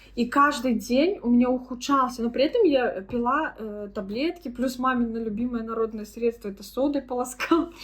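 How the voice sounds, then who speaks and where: With noticeable background noise, a woman speaks at a moderate pace in a high voice, with ordinary pitch variation and hardly any pauses. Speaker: vlogger. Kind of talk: casual vlog talk.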